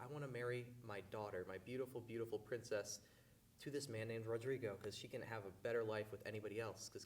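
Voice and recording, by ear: Reading aloud in a natural voice, pitch rising and falling in ordinary measure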